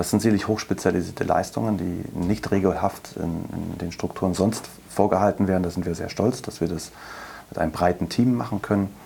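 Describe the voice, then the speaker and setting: A man talks at a fairly quick pace with fairly even intonation. His pitch is very deep and low. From Berlin. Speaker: chief physician, lung specialist. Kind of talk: interview.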